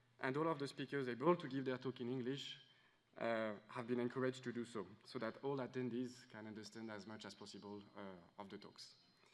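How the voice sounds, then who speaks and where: With a French accent, a man speaks at a fairly quick pace and a medium pitch. His loudness swings widely. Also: ordinary pitch variation. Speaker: conference organizer. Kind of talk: welcome speech. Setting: conference room with audience. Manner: hesitant, many fillers.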